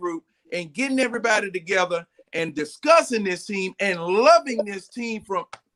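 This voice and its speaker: A raised, projected man's voice with an American accent, bright and sharp in tone, with lively intonation at a moderate pace, dry and close with no echo. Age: 60s. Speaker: sports fan panelist. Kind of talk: casual sports chat.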